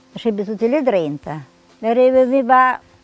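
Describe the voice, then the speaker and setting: Faint music plays behind a woman whose voice has a dry sound with no echo. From Romagna, Italy. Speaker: wartime eyewitness. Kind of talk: interview answer. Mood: vivid, emotional recollection. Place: garden. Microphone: lapel.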